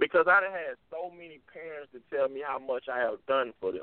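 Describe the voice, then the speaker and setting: At a moderate pace, a man talks in an unremarkable speaking voice, fairly high in pitch with ordinary pitch variation. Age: 20s. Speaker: author and youth speaker. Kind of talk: interview.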